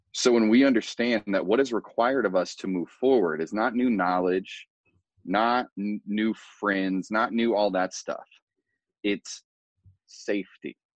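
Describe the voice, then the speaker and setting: This man has an unremarkable speaking voice with an American accent, fairly low pitch and ordinary pitch variation. He talks at a fairly slow pace in a dry, close sound with no echo against a quiet background. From US Midwest, rural Indiana. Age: 30s. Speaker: personal development coach. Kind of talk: casual interview.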